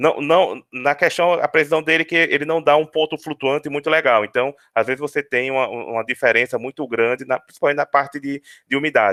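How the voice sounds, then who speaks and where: Here a man speaks with fairly high pitch. His pitch varies in an ordinary way. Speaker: university lecturer. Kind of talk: webinar lecture. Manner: fast; halting, many repetitions.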